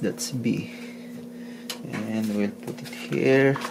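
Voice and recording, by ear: Over clear background noise, a man with vocal fry speaks very slowly at a fairly low pitch with fairly even intonation.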